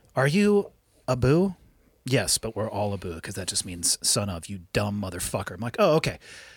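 A man with an American accent talks at a moderate pace in a fairly low, somewhat breathy voice with lively intonation. The recording is very clean, with a silent background. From California. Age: 40s. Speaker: podcast host and special operations veteran. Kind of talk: casual chat. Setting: studio. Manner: profane, blunt.

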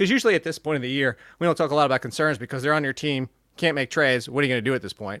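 The tone is bright and sharp, at a very fast pace. The recording is very clean, with a silent background. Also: man, dry, close sound with no echo. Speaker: fantasy football podcast host. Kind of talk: casual chat. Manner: animated.

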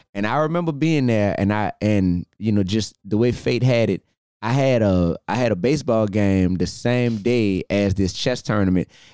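A man's fairly low, dark and mellow voice in a Southern US accent, moderate in pace, with ordinary pitch variation, very even loudness and a dry, close sound with no echo. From US South. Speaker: podcast host. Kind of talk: casual interview. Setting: office. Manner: animated.

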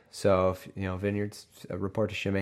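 A man speaks against a quiet background. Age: 30s. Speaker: podcast host reading the Bible. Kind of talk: casual Bible reading with commentary. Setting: home recording room. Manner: halting.

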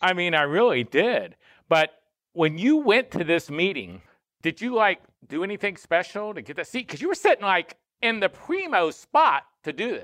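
Recorded very cleanly against a silent background, a man with a high pitch and a bright, sharp tone speaks at a moderate pace, his pitch swinging very widely. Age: 60s. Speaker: podcast host. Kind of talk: casual chat.

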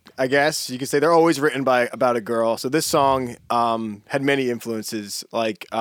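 A man with an American accent uses a normal speaking voice at a medium pitch, a moderate pace and fairly even intonation. He leaves hardly any pauses, and the recording is very clean with a silent background. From Pennsylvania, the Poconos. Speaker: singer-songwriter. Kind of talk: interview. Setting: studio.

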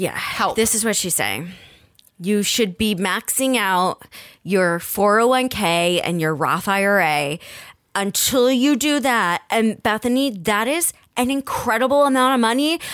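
A woman's plain, everyday voice with an American accent and lively intonation, on a very clean recording with a silent background. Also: fairly high pitch for a woman. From New Jersey. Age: 30s. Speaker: podcast host. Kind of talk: casual chat.

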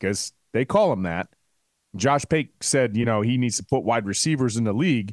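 A man's ordinary speaking voice at a medium pitch, lively intonation, a moderate pace, and a dry, close sound with no echo. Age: 40s. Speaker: sports podcast co-host. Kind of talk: casual chat.

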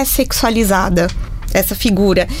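A woman speaks with a Brazilian accent and lively intonation. There is noticeable background noise. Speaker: communication sciences researcher. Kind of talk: radio panel discussion.

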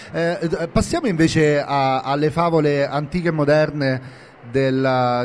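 With ordinary pitch variation, a man speaks in an unremarkable speaking voice at a fairly high pitch. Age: 40s. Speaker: podcast host and novelist. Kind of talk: live interview. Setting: live event room at a book fair.

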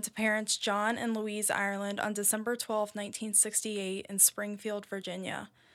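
A woman talks at a moderate pace in an American accent, with a plain, everyday voice. The recording is very clean, with a silent background. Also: hardly any pauses. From United States. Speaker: true crime podcast host. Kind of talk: casual chat with storytelling.

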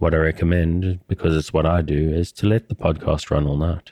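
A man's very deep, low voice at a fairly quick pace, with a dry, close sound and no echo. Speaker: sleep podcast host and storyteller. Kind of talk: scripted narration, sleep story reading aloud. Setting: studio, podcast recording.

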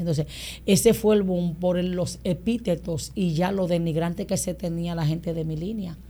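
Her tone dark and mellow and somewhat breathy, a woman speaks fairly slowly at a fairly low pitch with ordinary pitch variation. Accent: Dominican. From Dominican Republic (San Pedro de Macorís, Boca Chica). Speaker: pastor. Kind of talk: casual interview.

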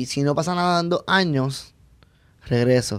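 Very slow speech from a man with a fairly high pitch and ordinary pitch variation, on a very clean recording with a silent background. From Puerto Rico. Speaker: stand-up comedian. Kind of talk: casual chat.

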